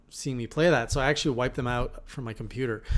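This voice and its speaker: A man is speaking with ordinary pitch variation. His pace is very fast. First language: French. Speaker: gaming podcast host. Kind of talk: casual chat.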